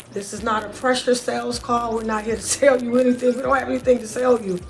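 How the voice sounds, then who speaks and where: A woman's fairly high voice at a fairly quick pace, with noticeable background noise. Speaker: online business show host, foreclosure help. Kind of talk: direct-to-camera talk. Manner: casual, energetic.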